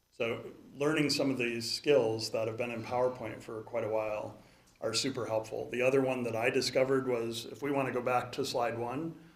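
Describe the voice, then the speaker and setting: In an American accent, a man speaks at a moderate pace and medium pitch with fairly even intonation and audible room echo. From Chicagoland, Illinois. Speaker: conference speaker. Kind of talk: conference talk.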